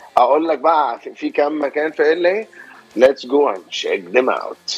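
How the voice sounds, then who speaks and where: A man talks at a fairly slow pace. Music sounds in the background. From Alexandria, Egypt. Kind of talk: casual radio interview chat. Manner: jokey, relaxed, animated.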